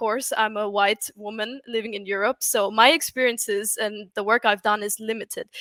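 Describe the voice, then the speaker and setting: In a very clean recording with a silent background and a dry, close sound with no echo, a woman with a German accent speaks at a fairly high pitch with fairly even intonation and hardly any pauses. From Austria. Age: 20s. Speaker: UX writer. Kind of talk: conference talk.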